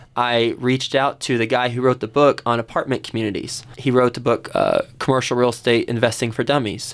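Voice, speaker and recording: The speaker has a plain, everyday voice with an American accent. The pace is moderate. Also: man. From Texas, Fort Worth. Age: 30s. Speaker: real estate investor, entrepreneur. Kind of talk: radio interview.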